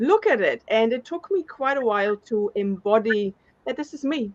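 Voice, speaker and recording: Speaking at a moderate pace, a woman with a German accent has a fairly high-pitched voice. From Germany. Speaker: speaker, former corporate worker. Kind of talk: testimony.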